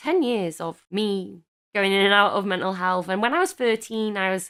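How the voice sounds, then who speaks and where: A woman with a British accent at a moderate pace, ordinary pitch variation, and a very clean recording with a silent background. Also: medium pitch for a woman. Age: 30s. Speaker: podcast co-host. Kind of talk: casual chat.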